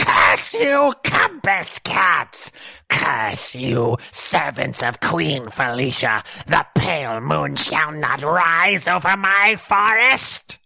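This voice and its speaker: Delivered at a very slow pace, this is a put-on character voice. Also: man, fairly high pitch for a man. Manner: wailing, cursing in pain.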